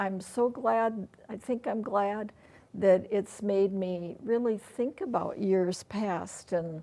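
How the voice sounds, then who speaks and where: This woman has a medium-pitched voice with a dark, mellow tone and an Upper Midwest accent. Her pace is very slow, with ordinary pitch variation. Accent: Upper Midwest American. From rural Iowa. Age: 70s. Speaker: interview guest. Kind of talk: casual interview.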